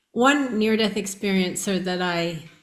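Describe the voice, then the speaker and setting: Someone with an American accent speaks at a fairly slow pace with ordinary pitch variation, with audible room echo. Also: woman. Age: 60s. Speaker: near-death experiencer. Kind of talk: interview.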